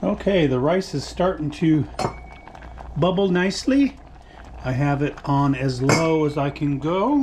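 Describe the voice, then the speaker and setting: Through noticeable background noise, a man with a fairly high voice speaks at a fairly slow pace with long, frequent pauses. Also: ordinary pitch variation. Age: 60s. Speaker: home cooking vlogger. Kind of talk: cooking tutorial. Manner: casual, chatty.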